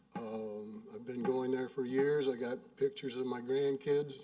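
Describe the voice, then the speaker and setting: This man's delivery is fairly slow. Behind him, background noise is clearly noticeable. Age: 70s. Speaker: resident giving public comment. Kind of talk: public comment at a meeting. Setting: township board meeting at a podium. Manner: halting.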